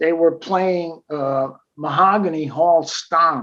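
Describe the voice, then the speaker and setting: At a very slow pace, a man with an American accent speaks with a fairly high pitch and fairly even intonation. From New Jersey, Passaic. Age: 80s+. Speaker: jazz drummer. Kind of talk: interview storytelling. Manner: hesitant, with frequent fillers and repeats.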